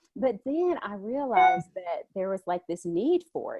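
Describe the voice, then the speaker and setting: A woman with a Southern US accent talks in a fairly high pitch with very wide swings. The sound is dry and close, with no echo. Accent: Southern drawl. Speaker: homeschooling mom and blogger. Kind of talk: casual chat. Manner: animated.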